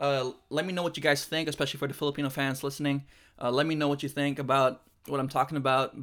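A man talks very fast with a fairly high pitch. His tone is bright and sharp, on a very clean recording with a silent background. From Philippines. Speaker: basketball podcast host. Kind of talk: solo podcast monologue.

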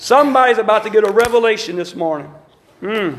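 A man speaks with an extremely high pitch. Noticeable background noise and audible room echo are in the recording. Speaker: Pentecostal preacher. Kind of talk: sermon. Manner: animated.

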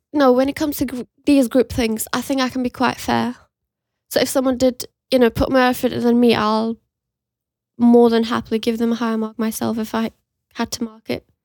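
A woman's high voice in monotone, flat intonation, at a fairly quick pace broken by long, frequent pauses, recorded very cleanly with a silent background and a dry, close sound with no echo. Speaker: podcast co-host, university student. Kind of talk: casual chat. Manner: laughs often.

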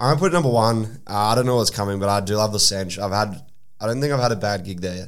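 In an Australian accent, a man talks very fast in a fairly low pitch with ordinary pitch variation, and audible room echo surrounds his voice. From South Australia (Adelaide). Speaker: DJ and social media content creator. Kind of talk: casual chat.

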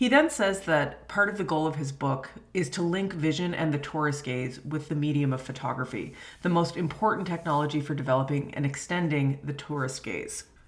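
Amid noticeable background noise and audible room echo, a woman with a very deep, low pitch talks at a fairly quick pace with ordinary pitch variation. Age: 30s. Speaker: history professor. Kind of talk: lecture.

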